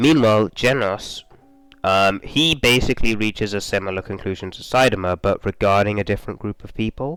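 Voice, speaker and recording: A man at a fairly low pitch and a fairly quick pace, with ordinary pitch variation and big swings in loudness, in a dry, close sound with no echo and music in the background. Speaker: video essayist on manga. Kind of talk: video essay commentary. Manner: fast; hesitant, many fillers.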